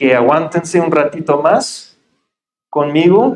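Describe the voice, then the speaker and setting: Speaking with a Mexican accent, a man uses a fairly high pitch with ordinary pitch variation. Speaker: pastor. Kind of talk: sermon. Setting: church.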